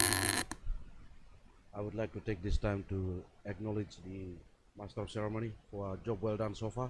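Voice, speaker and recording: Fairly low, somewhat breathy male voice, monotone and flat in intonation, at a fairly slow pace. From Papua New Guinea, Enga Province. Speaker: invited speaker, former teacher. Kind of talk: formal speech.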